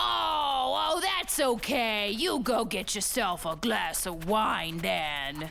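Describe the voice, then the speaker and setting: The speaker puts on a cartoonish character voice with a fairly high pitch. The delivery moves at a fairly slow pace. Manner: sarcastic, teasing.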